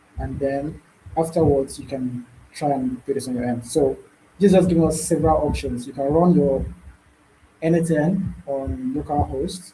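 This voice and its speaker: A man's unremarkable speaking voice sits fairly high in pitch, moving at a moderate pace with ordinary pitch variation. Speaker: bootcamp instructor. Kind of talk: live online tutorial. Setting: video call with screen sharing.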